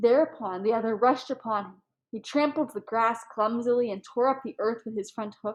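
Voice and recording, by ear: Reading aloud in a natural voice, fairly even intonation, over a quiet background.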